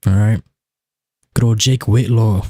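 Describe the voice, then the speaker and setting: Recorded very cleanly against a silent background, the somewhat breathy voice has a dry, close sound with no echo, a moderate pace and ordinary pitch variation. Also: man. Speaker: video game streamer. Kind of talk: live gaming stream chat. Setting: live stream. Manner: casual, rambling with fillers.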